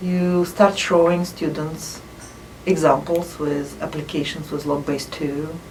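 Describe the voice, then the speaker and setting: Over noticeable background noise and audible room echo, a woman with a non-native accent speaks at a fairly low pitch. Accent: foreign. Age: 50s. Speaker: math professor. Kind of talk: interview. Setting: office.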